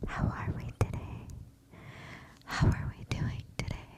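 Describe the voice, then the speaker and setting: A woman whispers at a fairly slow pace while noticeable background noise carries on behind her. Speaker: ASMR creator. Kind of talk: ASMR whisper rambling. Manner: semi-inaudible whisper.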